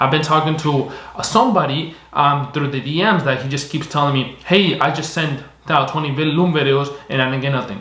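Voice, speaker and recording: Over noticeable background noise and audible room echo, a man with a fairly high pitch speaks at a fairly quick pace with ordinary pitch variation. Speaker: online marketing agency owner / YouTuber. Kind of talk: tutorial. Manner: fast; casual, repetitive filler phrasing.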